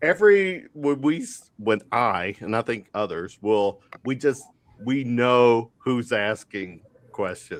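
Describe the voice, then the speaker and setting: With a Kentucky accent, a man speaks at a very slow pace. His pitch is medium and his intonation is lively. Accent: Kentucky accent, same as panelist's. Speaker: sports talk show host. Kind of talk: sports talk roundtable.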